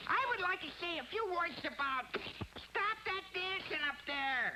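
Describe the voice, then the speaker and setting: An extremely high, cartoonish character voice at a fairly slow pace, with clear background noise. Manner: wisecracking, brash.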